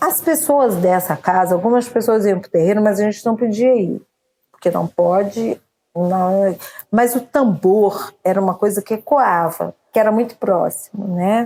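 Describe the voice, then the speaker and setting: The woman's dark, mellow tone sits at medium pitch, with ordinary pitch variation and a fairly slow pace. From Brazil, Campos (Rio de Janeiro state). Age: 50s. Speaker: poet, actress and singer. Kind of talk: interview.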